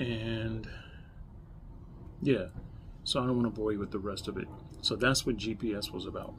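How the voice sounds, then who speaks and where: A man speaks at a moderate pace with fairly even intonation. Noticeable background noise sits under his voice. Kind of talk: casual vlog chat. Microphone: phone near.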